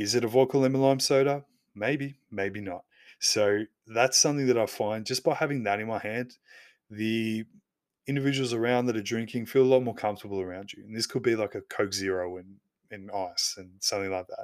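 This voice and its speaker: In a very clean recording with a silent background, a man with an Australian accent speaks at a fairly quick pace and medium pitch, with ordinary pitch variation and big swings in loudness. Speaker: podcast host. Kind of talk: solo podcast monologue.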